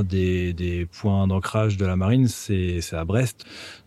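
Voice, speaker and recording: In a dark, mellow tone, a man speaks at a fairly slow pace and fairly low pitch. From central France. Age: 30s. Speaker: photographer and videographer. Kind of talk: interview testimony.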